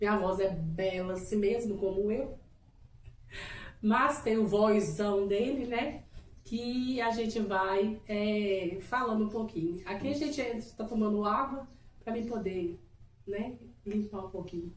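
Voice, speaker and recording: Speaking at a fairly slow pace with long, frequent pauses, a woman uses a fairly high pitch, ordinary pitch variation and an animated tone, amid noticeable background noise and audible room echo. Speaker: couple channel co-host. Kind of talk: casual chat.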